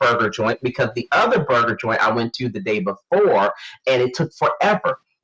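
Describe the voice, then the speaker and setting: Music plays behind a man whose fairly high voice makes very wide pitch swings. He keeps a moderate pace, and the sound is dry and close with no echo. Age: 30s. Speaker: podcast co-host. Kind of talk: casual chat. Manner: halting.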